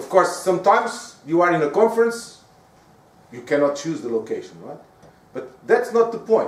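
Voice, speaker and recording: A man's high-pitched voice with a Portuguese accent, very wide pitch swings, big swings in loudness, a moderate pace and long, frequent pauses, over noticeable background noise. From Portugal. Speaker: professor. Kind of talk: lecture. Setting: stage with audience.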